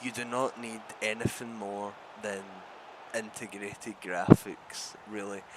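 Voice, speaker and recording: A man at medium pitch, in a Glaswegian accent. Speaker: gaming tech YouTuber. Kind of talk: casual talk-to-camera discussion. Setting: recorded with gameplay in background.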